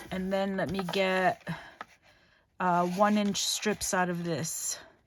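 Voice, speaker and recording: Mumbling at a very slow pace, a woman speaks at a medium pitch with monotone, flat intonation. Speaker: crafting channel host. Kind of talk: craft tutorial. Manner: casual, hesitant with fillers.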